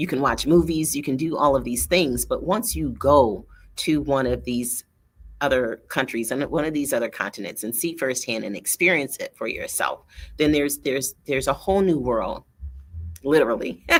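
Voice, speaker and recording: With an American accent, a woman speaks at a moderate pace in a very deep, low pitch, using lively intonation and vocal fry. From US Midwest (Michigan). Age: 60s. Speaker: coach and entrepreneur, online show host. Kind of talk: monologue to camera. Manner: hesitant fillers, repeats words.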